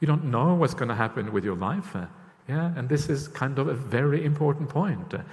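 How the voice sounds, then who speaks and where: A somewhat breathy man talks at a fairly quick pace with a fairly high pitch and lively intonation. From Norway. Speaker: Buddhist monk. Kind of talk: dharma talk. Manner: hesitant, many fillers.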